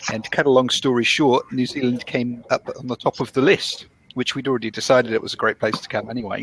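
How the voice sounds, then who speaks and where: Speaking very fast with hardly any pauses, a man with a British accent and a medium pitch keeps his intonation fairly even, in a dry, close sound with no echo over noticeable background noise. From UK. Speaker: business analyst, immigrant. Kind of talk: casual chat. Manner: hesitant, many fillers.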